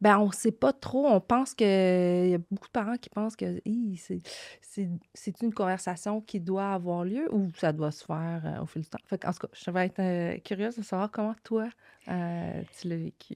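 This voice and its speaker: At a moderate pace and medium pitch, a woman speaks with ordinary pitch variation in a very clean, dry, close recording with a silent background and no echo. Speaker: podcast host. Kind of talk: interview.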